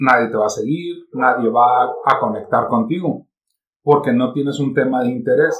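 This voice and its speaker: Using a normal speaking voice, a man talks at a medium pitch. His pace is moderate and his intonation fairly even. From Mexico. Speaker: internet radio and podcast producer. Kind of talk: casual chat.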